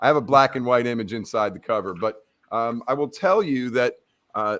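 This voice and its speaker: Here a man speaks at a moderate pace with ordinary pitch variation in a plain, everyday voice. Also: medium pitch for a man. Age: 60s. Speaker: author and business consultant. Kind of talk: interview on live video show.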